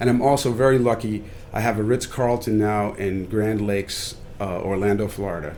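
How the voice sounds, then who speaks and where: A man at a fairly quick pace, with a fairly low pitch and fairly even intonation, amid audible room echo and noticeable background noise. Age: 60s. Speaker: chef and restaurateur. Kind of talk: podcast interview.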